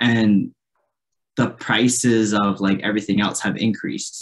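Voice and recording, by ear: Speaking at a moderate pace, a man holds a fairly low pitch with fairly even intonation.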